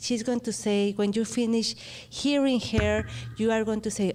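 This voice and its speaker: On a very clean recording with a silent background, a woman with a Spanish accent speaks in a dark, mellow tone. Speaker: radio host. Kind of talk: interview.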